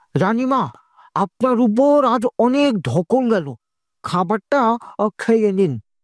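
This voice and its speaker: A cartoonish character voice, female-sounding and fairly high in pitch, at a fairly slow pace. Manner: deferential.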